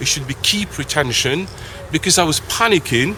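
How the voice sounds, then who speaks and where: At a moderate pace, a man speaks through noticeable background noise. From Algeria. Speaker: English teacher. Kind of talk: interview. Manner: halting.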